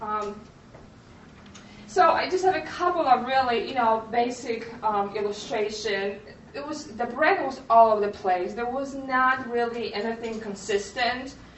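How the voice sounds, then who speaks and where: With a Polish accent, a woman speaks at a fairly high pitch and a fairly slow pace, using lively intonation. Noticeable background noise and audible room echo fill the recording. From Poland. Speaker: graphic designer, creative studio owner. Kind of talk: conference presentation. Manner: halting, many fillers.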